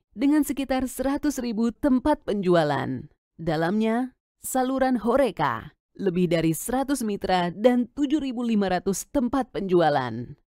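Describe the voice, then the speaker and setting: A woman with a fairly high voice speaks at a moderate pace, her pitch swinging very widely. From Indonesia. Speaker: voice-over artist. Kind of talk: corporate narration.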